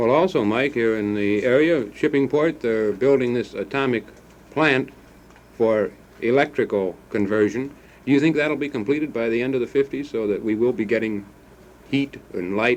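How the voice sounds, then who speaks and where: With an unremarkable speaking voice, a man talks at a moderate pace, his medium pitch showing ordinary pitch variation. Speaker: radio talk show host. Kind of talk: 1950s radio talk show hosting.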